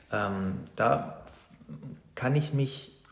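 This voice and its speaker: Audible room echo surrounds a man as he talks. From Saxony-Anhalt, eastern Germany (Weißenfels near Leipzig). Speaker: teacher and mindfulness coach. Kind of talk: casual interview. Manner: hesitant, many filler sounds.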